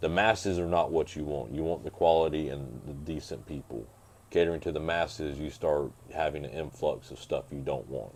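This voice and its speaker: A man's very deep, low voice, marked by vocal fry, moves fairly quickly with ordinary pitch variation. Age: 30s. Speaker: motocross racer and mechanic. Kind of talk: casual chat. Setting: home podcast.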